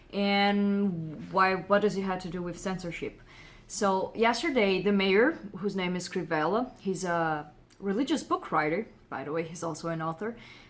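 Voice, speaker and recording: The speaker has a Brazilian Portuguese accent. The pace is moderate. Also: woman, medium pitch for a woman, ordinary pitch variation. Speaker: comic book writer and artist. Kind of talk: casual commentary vlog. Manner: hesitant, many fillers.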